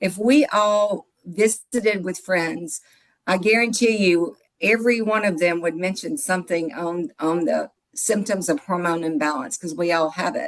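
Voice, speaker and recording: A woman with a Mississippi accent speaks with lively intonation. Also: medium pitch for a woman, fairly slow pace. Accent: Southern US (Mississippi). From US South, Mississippi. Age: 60s. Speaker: product distributor, financial office manager. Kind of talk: sales pitch. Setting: video call. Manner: animated.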